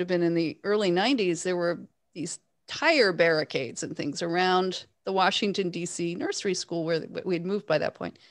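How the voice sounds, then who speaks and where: Here is an unremarkable speaking voice from a woman with a Canadian accent. Her pitch is medium, her pace moderate, and her pitch varies in an ordinary way. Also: very clean recording, silent background. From Canada, Toronto. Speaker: author and podcast host. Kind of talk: interview.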